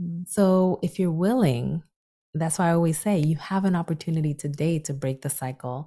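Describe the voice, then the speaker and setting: Over a very clean, silent background, a woman talks at a fairly quick pace. Her fairly low voice is somewhat breathy, with a dark, mellow tone. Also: ordinary pitch variation. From Dominican Republic. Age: 30s. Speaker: psychologist. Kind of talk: interview.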